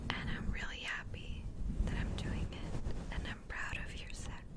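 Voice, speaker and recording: A woman whispers at a moderate pace. Noticeable background noise runs under her voice. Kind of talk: ASMR whispering with positive affirmations. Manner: soft-spoken, whispered.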